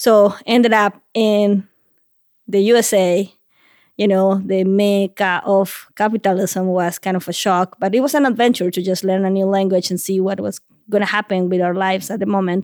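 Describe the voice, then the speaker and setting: In a Bolivian accent, a woman at a medium pitch speaks at a moderate pace with monotone, flat intonation. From La Paz, Bolivia. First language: Spanish. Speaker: migrant rights activist.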